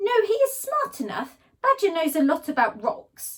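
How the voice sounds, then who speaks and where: A woman's squeaky, put-on character voice, extremely high-pitched, with very wide pitch swings at a moderate pace. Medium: read story. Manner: enthusiastic, formal without contractions.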